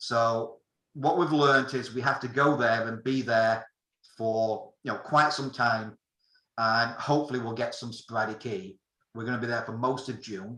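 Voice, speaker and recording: Speaking at a moderate pace, a man uses a bright, sharp tone with ordinary pitch variation. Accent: British. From England. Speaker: amateur radio operator giving a talk. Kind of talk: technical presentation. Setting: video call.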